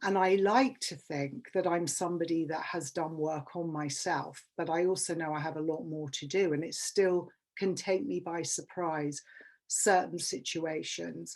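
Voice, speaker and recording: With a London accent and ordinary pitch variation, a woman with a fairly low voice speaks at a fairly slow pace against a quiet background. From England. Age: 50s. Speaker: public speaker. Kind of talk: workshop talk.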